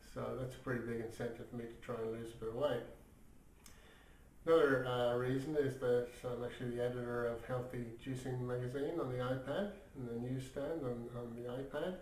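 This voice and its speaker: Audible room echo surrounds a man speaking at a fairly quick pace. His somewhat breathy voice sits at a medium pitch with fairly even intonation. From Ireland. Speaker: magazine editor and vlogger. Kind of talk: casual video diary. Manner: hesitant, many fillers.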